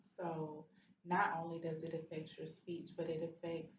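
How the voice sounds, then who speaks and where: Audible room echo surrounds a woman whose somewhat breathy, fairly low-pitched voice moves at a moderate pace. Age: 40s. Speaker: stroke survivor and advocate. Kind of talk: testimony.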